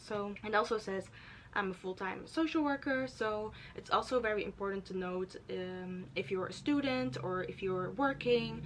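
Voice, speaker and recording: A woman with a Dutch accent at medium pitch and moderate pace. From Netherlands. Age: 20s. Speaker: YouTuber. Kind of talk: tutorial. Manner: casual, filler-heavy.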